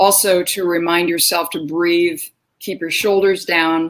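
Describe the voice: A woman's fairly low voice at a fairly slow pace, with little pitch movement.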